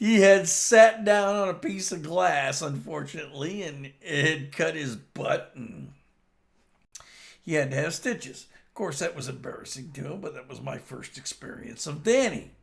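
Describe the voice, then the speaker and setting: A man with an American accent speaks at a moderate pace with lively intonation. Vocal fry runs through his voice. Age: 60s. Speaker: vlogger. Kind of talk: personal storytelling monologue. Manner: halting, with frequent fillers.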